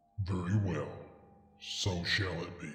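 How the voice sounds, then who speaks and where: A man's put-on character voice, very deep and low in pitch, monotone and flat, with slight echo. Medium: read story. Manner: calm, smooth, menacing.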